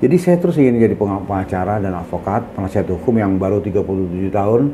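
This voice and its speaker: A man with lively intonation at a very fast pace, over noticeable background noise. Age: 60s. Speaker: senior lawyer. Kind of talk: interview. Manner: halting, with fillers.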